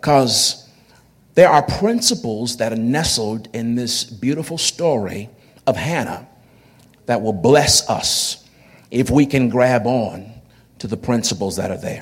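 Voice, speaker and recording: Lively intonation at a fairly slow pace, with long, frequent pauses and noticeable background noise. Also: man, medium pitch for a man. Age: 40s. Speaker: pastor. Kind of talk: sermon. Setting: church. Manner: halting.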